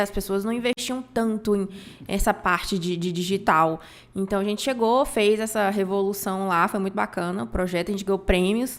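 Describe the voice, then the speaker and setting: A woman's medium-pitched voice moves at a moderate pace with ordinary pitch variation. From Bahia interior, Brazil. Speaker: marketing specialist. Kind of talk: podcast interview.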